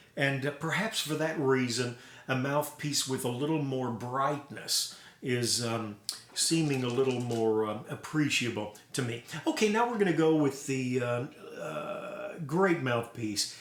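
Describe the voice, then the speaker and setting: A man talks at a fairly high pitch, and noticeable noise can be heard behind him. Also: ordinary pitch variation, fairly slow pace. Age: 60s. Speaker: trumpet collector and player. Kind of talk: casual instrument demo. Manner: hesitant with fillers.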